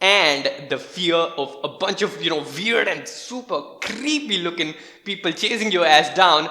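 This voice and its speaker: Over noticeable background noise, a man with a non-native accent speaks fairly slowly in an animated tone, his pitch high with ordinary variation. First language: not English. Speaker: gaming YouTuber. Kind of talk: video commentary. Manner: casual, animated.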